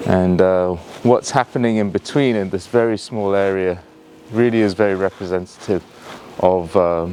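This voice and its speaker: With a Yorkshire accent, a man talks at a moderate pace in a very deep, low pitch, his intonation fairly even over noticeable background noise. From northern England, Yorkshire. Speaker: tour guide. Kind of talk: live virtual tour narration. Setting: outdoors. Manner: halting, many fillers; hushed, quiet.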